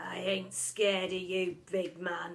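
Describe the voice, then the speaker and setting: Raspy and growling, a woman speaks at medium pitch in a flat monotone at a fairly slow pace. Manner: menacing, manly.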